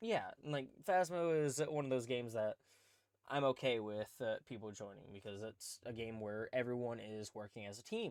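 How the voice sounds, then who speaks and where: This man talks at a medium pitch with ordinary pitch variation in an unremarkable speaking voice. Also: moderate pace. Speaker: podcast host and streamer. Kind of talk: casual chat. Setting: podcast recording with cohost.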